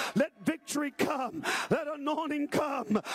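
Extremely high in pitch, a man speaks at a fairly slow pace in an intense, animated tone. The sound is dry and close with no echo, with noticeable background noise. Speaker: preacher. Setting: church; livestreamed to online viewers as well as a live congregation.

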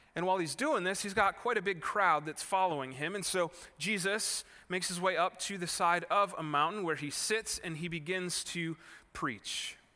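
A man speaks with an American accent at a high pitch, with a bright, sharp tone. His pace is moderate and his pitch variation ordinary. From Wisconsin, US Midwest (Kenosha). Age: 30s. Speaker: pastor. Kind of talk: sermon. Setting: church. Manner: casual conversational.

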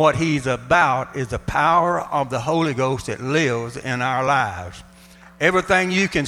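A man's fairly high voice, bright and sharp in tone, with lively intonation on a very clean recording over a silent background. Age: 80s+. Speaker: pastor. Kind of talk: sermon. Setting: church.

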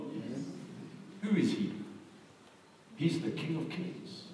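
Amid noticeable background noise, a man with a fairly high pitch speaks fairly slowly, with long, frequent pauses and big swings in loudness. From Zimbabwe. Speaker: evangelist preacher. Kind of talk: sermon. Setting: church with congregation, microphone.

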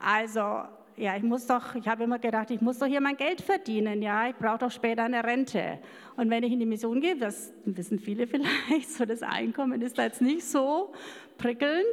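The woman's voice is high in pitch. It has ordinary pitch variation. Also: moderate pace. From rural Germany, farm background. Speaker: missionary. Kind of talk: interview testimony. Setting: church service with congregation. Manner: halting.

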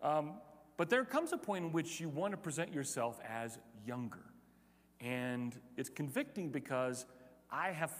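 Long, frequent pauses break up a man's speech at a moderate pace. His pitch is fairly high and his intonation lively. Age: 50s. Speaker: pastor. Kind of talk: sermon.

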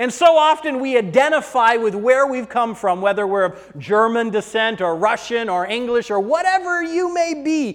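An extremely high male voice at a moderate pace, lively in intonation, over noticeable background noise. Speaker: preacher. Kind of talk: sermon. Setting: church.

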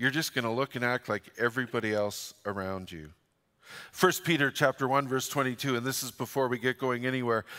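A man with a Western Canadian accent speaks at a fairly quick pace in a medium pitch with ordinary pitch variation and a bright, sharp tone, on a very clean recording with a silent background and a dry, close sound with no echo. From Canada, northern British Columbia. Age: 60s. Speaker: pastor. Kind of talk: sermon. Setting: church.

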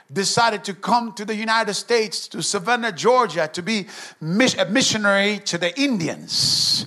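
A high-pitched man speaks with an animated tone in a raised, projected voice. His pace is moderate, with noticeable background noise. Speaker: revival evangelist. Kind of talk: fiery revival sermon with call-and-response to the congregation. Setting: church. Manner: animated, exhorting, punchy, shouting prayers and calls for amens.

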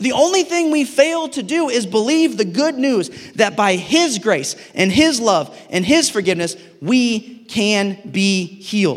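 In an American accent, a man speaks at a fairly slow pace and a high pitch, with very wide pitch swings. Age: 30s. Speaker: pastor. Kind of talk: sermon.

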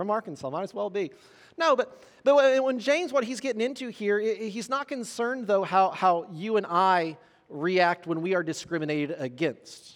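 A man with a Southern Indiana accent speaks high for a man, his pitch swinging very widely. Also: moderate pace. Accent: Southern Indiana accent, noticeable. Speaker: pastor. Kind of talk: sermon. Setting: church. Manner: halting, many repetitions and fillers.

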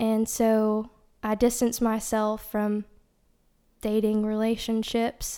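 In a Tennessee accent, a dark, mellow voice speaks very slowly in a flat monotone with long, frequent pauses. The recording is very clean, with a silent background. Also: woman, fairly high pitch for a woman. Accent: Southern US (Tennessee). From East Tennessee, US South. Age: young. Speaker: nursing student, church worship team member. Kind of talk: testimony.

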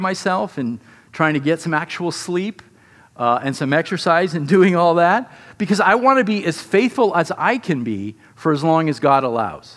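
A man speaks at a moderate pace with a high pitch. His intonation is lively. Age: 50s. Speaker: pastor. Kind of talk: sermon.

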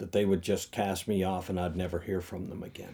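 With a very deep, low pitch and a dark, mellow tone, a man speaks at a fairly quick pace. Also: very clean recording, silent background. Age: 60s. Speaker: pastor. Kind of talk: casual chat.

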